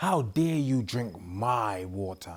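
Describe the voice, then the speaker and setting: A man growls in a put-on character voice pitched fairly low. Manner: growling, furious.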